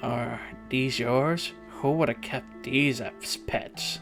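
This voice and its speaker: Very slow, put-on character voice at a low-to-middle pitch, with clear music in the background. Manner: condescending.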